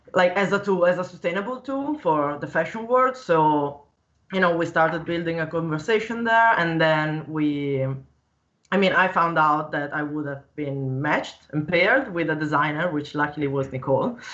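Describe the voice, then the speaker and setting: Speaking with a slight Italian accent, a woman uses a fairly low pitch and lively intonation. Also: moderate pace. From Italy. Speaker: 3D digital fashion designer. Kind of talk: casual live-stream conversation. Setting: live stream, video call.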